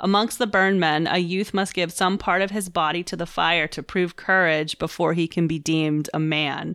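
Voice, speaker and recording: A woman with an American accent and an unremarkable speaking voice talks at a moderate pace, medium in pitch and fairly even in intonation. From Pittsburgh, US. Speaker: subreddit moderator, podcast co-host. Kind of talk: casual chat.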